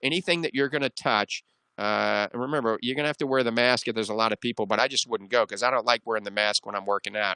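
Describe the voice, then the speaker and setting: A man talks at a very fast pace in a bright, sharp tone with ordinary pitch variation. The sound is dry and close with no echo, and the background is quiet. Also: medium pitch for a man. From US South, New Orleans. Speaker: radio doctor show host. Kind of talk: radio call-in advice show.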